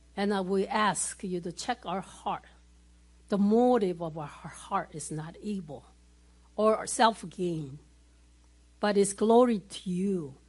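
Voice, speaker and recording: A somewhat breathy woman of medium pitch talks at a very slow pace with long, frequent pauses. Her pitch varies in an ordinary way while her loudness swings widely. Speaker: church prayer leader. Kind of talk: spontaneous prayer. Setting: church.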